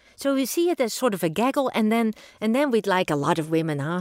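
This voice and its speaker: A woman with a Dutch accent, moderate in pace, with lively intonation, in a very clean recording with a silent background. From Netherlands. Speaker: engineering professor. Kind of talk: interview.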